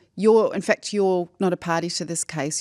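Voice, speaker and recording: At a fairly slow pace, a woman with a New Zealand accent speaks at a medium pitch, the sound dry and close with no echo. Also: very clean recording, silent background. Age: 60s. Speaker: former broadcaster and journalist. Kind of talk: casual chat.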